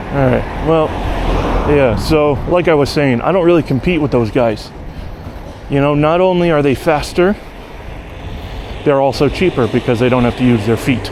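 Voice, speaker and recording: Over noticeable background noise, a man with an American accent and a fairly high pitch speaks at a moderate pace with ordinary pitch variation and very even loudness, pausing long and often. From United States. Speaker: bike courier and vlogger. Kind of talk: casual vlog monologue. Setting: outdoors, riding a bike.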